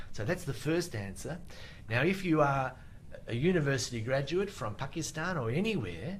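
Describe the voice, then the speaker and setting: In an Australian accent, a man with a fairly high voice talks at a moderate pace, his pitch swinging very widely, with audible echo from the room. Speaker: IELTS teacher. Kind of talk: live Q&A webinar. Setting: Facebook live stream.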